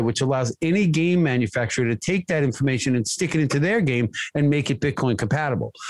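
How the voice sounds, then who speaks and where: In an American accent, a man speaks very fast with lively intonation and a fairly high pitch. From US. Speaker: contractor. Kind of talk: casual chat.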